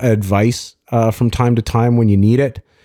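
A man with a Canadian accent speaks at a fairly slow pace in a fairly low pitch, his dark, mellow tone and fairly even intonation captured in a very clean recording with a silent background. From Ontario, Canada (Toronto suburbs). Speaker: entrepreneur. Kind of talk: casual interview.

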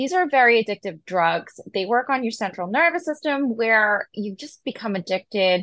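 Speaking with an American accent, a woman uses a fairly high pitch and very wide pitch swings at a moderate pace with hardly any pauses. The background is quiet, and the sound is dry and close with no echo. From Massachusetts, US. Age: 40s. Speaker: pharmacist. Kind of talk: casual interview.

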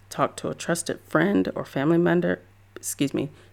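At a moderate pace, a woman with a very deep, low pitch and vocal fry speaks with very wide pitch swings. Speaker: podcast host and photographer. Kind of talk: solo podcast pep talk. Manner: encouraging, conversational.

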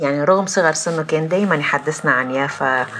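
Noticeable background noise runs under the clip. A woman speaks at a moderate pace. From Lebanon, Palestinian refugee community from Jaffa. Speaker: former administrator and writer. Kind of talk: personal testimony in interview.

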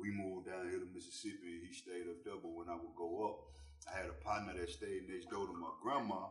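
With a Southern US accent, a man talks at a fairly quick pace. Noticeable background noise is present. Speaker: rapper. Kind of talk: casual chat. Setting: studio.

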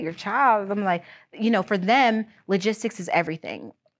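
Over a quiet background, a woman with a normal speaking voice talks at a moderate pace with ordinary pitch variation. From Pennsylvania, Erie area and outside Philadelphia. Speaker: aerospace freight broker and logistics business partner. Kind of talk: interview, casual chat.

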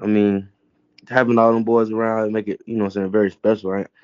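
The speaker is a man. His pitch is medium. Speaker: college football player. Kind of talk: casual interview. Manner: laid-back.

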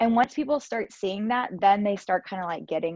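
A woman with an American accent at a fairly quick pace, lively intonation, a quiet background and a dry, close sound with no echo. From US South, Georgia. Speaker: Pilates studio owner and former lawyer. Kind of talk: casual interview.

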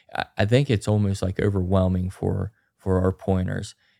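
A man with an Appalachian accent talks at a moderate pace in a fairly low voice, his intonation fairly even. The recording is very clean, with a silent background and a dry, close sound with no echo. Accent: Appalachian American. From West Virginia, Grafton. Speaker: grouse hunter. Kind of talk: casual chat.

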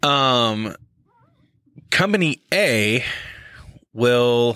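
A man talks with lively intonation and an animated tone. His tone is bright and sharp. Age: middle-aged. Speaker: podcast co-host. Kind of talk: casual chat. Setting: studio.

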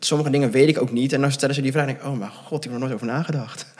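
A man's ordinary speaking voice, medium in pitch, with fairly even intonation. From Netherlands, near Gouda. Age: 20s. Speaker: adoptee sharing his story. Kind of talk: interview.

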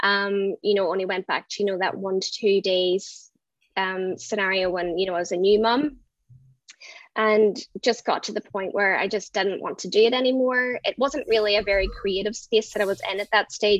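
Speaking at a moderate pace with a strong Irish accent, a woman keeps a medium pitch and ordinary pitch variation. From Ireland. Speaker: brand designer. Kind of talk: casual interview.

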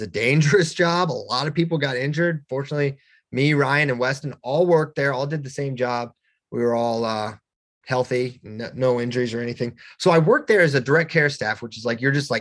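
Against a quiet background, a man with a plain, everyday voice and an American accent talks at a fairly quick pace, his pitch fairly high with ordinary pitch variation. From Virginia, Shenandoah Valley. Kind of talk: casual interview.

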